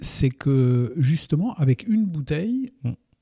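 A man speaks very slowly in a fairly high voice, somewhat breathy, with a dark, mellow tone. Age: 60s. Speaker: winemaker. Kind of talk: interview. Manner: calm, measured.

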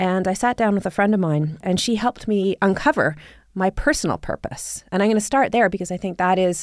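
With an ordinary speaking voice, a woman talks at a fairly quick pace in a medium pitch with ordinary pitch variation, on a very clean recording with a silent background. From Canada, Toronto area. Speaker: sustainability advocate, business executive. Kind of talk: interview conversation.

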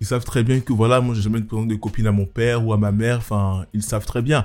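With an ordinary speaking voice, a man of medium pitch talks at a fairly quick pace with fairly even intonation. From Côte d'Ivoire (Abidjan). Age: 20s. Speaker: lawyer and photographer. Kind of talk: testimony.

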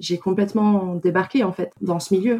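This woman has a plain, everyday voice with ordinary pitch variation. Her pace is fairly slow. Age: 20s. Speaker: socially responsible investment analyst. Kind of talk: testimony.

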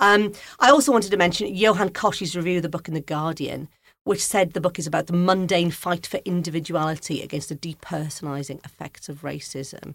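On a very clean recording with a silent background, a woman with a Welsh accent speaks at a fairly quick pace and a fairly low pitch, with ordinary pitch variation and big swings in loudness. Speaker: podcast host and music journalist. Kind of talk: casual interview chat. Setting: studio.

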